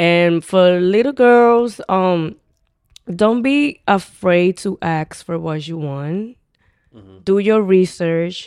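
A woman at medium pitch, very slow, with lively intonation and big swings in loudness, on a very clean recording with a silent background. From Dominican Republic. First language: Spanish. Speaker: dating show contestant. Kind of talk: casual chat.

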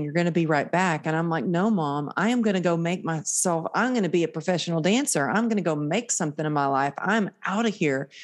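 A woman's plain, everyday voice, fairly low in pitch, with ordinary pitch variation, at a fairly quick pace. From Texas, small town. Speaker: motivational speaker and author. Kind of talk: casual interview.

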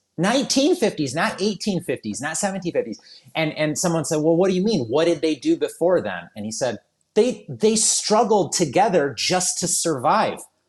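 At a moderate pace, a man with an American accent talks in a high pitch. His pitch swings are very wide. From southeastern Michigan, US. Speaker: wedding photographer. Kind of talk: casual chat.

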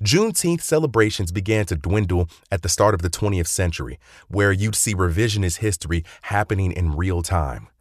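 An animated, somewhat breathy man with an American accent and a very deep, low pitch, over a quiet background. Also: ordinary pitch variation, fairly quick pace. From North Carolina. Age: 20s. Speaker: history podcaster. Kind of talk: scripted narration.

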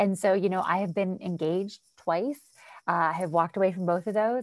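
With an American accent, a woman speaks fairly quickly in an animated tone, recorded with a dry, close sound with no echo against a quiet background. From Western Pennsylvania, near Ohio border. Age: 40s. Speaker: empowerment coach. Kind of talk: casual interview, faith testimony.

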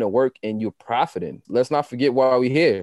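With a New York accent, a man talks at a moderate pace and medium pitch with ordinary pitch variation. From Queens, New York (Jamaica, Southside). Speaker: podcast co-host, fitness trainer and entrepreneur. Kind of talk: casual chat.

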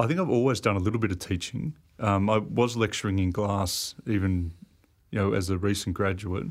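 With an Australian accent, a man talks at a fairly quick pace in a fairly low pitch, with ordinary pitch variation and very even loudness, on a very clean recording with a silent background. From Sydney, Australia. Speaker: industrial designer. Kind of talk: casual interview. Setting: studio.

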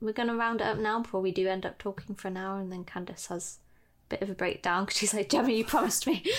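A woman at medium pitch talks at a very fast pace. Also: ordinary pitch variation. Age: 20s. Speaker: podcast host, calligraphy business owner. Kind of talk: casual chat.

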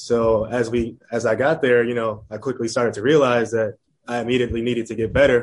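A man speaks in an American accent at a fairly quick pace. His intonation is monotone and flat. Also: medium pitch for a man. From Chicago suburbs, Illinois. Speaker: professional baseball player. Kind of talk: interview. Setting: video call.

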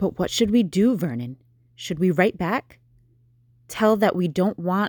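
A woman puts on a shaky character voice at medium pitch with lively intonation and a moderate pace, in a dry, close sound with no echo. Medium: read story. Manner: snappish, then fearful and quivering.

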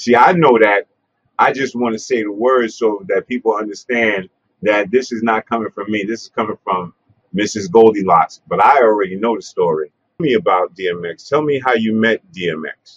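With a New York accent, a man talks at a moderate pace and medium pitch, his pitch varying in an ordinary way, in a dry, close sound with no echo. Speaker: interviewer, hip-hop pioneer. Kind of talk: casual interview. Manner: halting, many fillers.

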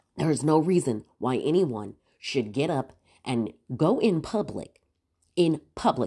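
A woman's very deep, low voice with an animated tone and very wide pitch swings, recorded very cleanly against a silent background. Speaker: podcast host. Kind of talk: solo comedic rant.

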